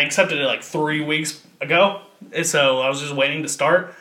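Fairly quick speech from a man, with noticeable background noise behind him. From Kentucky. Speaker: podcast host. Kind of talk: casual chat.

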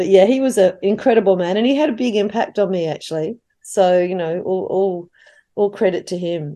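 A woman with an Australian accent speaks at a fairly quick pace in a medium pitch. Her tone is dark and mellow, with ordinary pitch variation. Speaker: playwright. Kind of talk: casual chat. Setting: video call.

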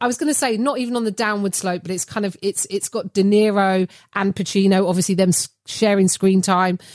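A woman with an English accent at a fairly quick pace, dry and close with no echo. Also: medium pitch for a woman, ordinary pitch variation. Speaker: comedian. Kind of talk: casual chat. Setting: video call.

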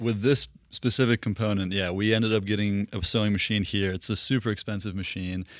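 A man with an unremarkable speaking voice, fairly low in pitch, fairly even in intonation and fairly quick in pace, on a very clean recording with a silent background. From Russia, moved to US East Coast at eight. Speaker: business founder. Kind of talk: interview.

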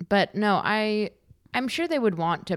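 A woman's lively, moderately paced speech in an American accent, on a very clean recording with a silent background. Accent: East Coast vibe. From California (Santa Monica), boarding school in Massachusetts from 14. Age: 20s. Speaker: comedian. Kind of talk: casual chat.

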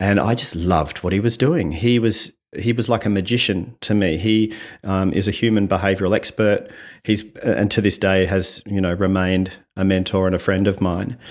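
The background is silent and the recording very clean. His fairly low voice carries fairly even intonation. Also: moderate pace, very even loudness. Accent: Australian. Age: 50s. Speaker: communication coach. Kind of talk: podcast interview.

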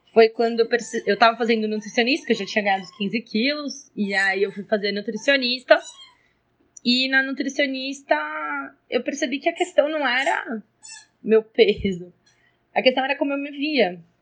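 A woman with a high voice speaks with lively intonation, her loudness swinging widely and her speech broken by long, frequent pauses. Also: moderate pace. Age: 20s. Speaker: schoolteacher. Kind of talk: personal testimony.

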